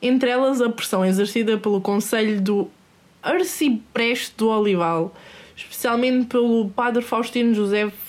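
Her pitch is fairly high, and the woman's tone is animated. She keeps a moderate pace, very even loudness and ordinary pitch variation. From Portugal, Alentejo. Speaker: podcast host. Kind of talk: casual chat.

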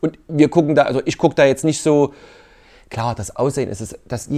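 A man speaks at a fairly quick pace with a medium pitch. He has an ordinary speaking voice, in a very clean recording with a silent background. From Leipzig, Saxony. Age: 30s. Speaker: dating show contestant. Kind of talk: casual interview.

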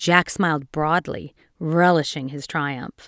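Delivered in a theatrical tone, the voice is recorded dry and close with no echo, very clean with a silent background. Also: woman. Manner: dark, theatrical storytelling with hushed, lingering pacing.

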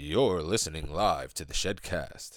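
Fairly slow speech from a man in a put-on character voice with a very deep, low pitch. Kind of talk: radio announcer voice.

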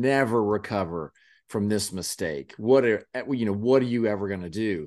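A man with a fairly low pitch and an ordinary speaking voice talks at a moderate pace with ordinary pitch variation against a quiet background. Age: 50s. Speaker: podcast host. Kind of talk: casual chat.

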